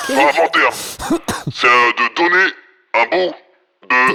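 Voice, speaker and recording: A man uses a put-on character voice. It sits at a high pitch. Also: fairly slow pace. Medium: actual play. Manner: vague, halting, casual.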